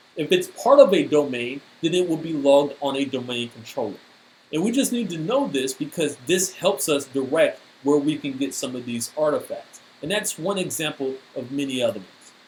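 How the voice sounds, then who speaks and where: An ordinary speaking voice moves at a moderate pace with lively intonation. Its loudness swings widely. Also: man, fairly high pitch for a man. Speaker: cybersecurity speaker. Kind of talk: technical presentation.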